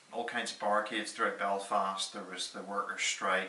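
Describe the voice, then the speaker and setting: The speech goes at a moderate pace over noticeable background noise. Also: man. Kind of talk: personal storytelling. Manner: casual, conversational.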